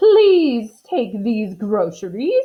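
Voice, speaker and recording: In a put-on character voice, a woman speaks fairly high for a woman, her pitch swinging very widely. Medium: read story.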